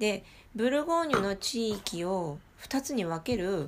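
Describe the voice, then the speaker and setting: A woman's animated voice at a fairly slow pace, with very wide pitch swings. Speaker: podcast host. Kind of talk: casual chat. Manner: animated, talkative.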